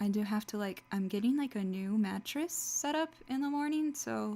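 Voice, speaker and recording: A woman speaks quietly at medium pitch, with ordinary pitch variation. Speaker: streamer. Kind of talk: let's play commentary. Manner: talking quieter; casual, filler-heavy.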